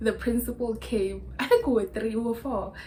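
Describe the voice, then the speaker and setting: A woman with a South African accent at a moderate pace. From Limpopo, South Africa. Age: 20s. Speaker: YouTuber. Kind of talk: casual talk to camera. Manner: chatty, storytelling.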